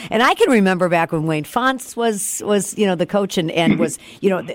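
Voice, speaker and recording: On a very clean recording with a silent background, a woman speaks with an American accent. Hers is a normal speaking voice at medium pitch. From Detroit. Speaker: country radio host. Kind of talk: casual chat.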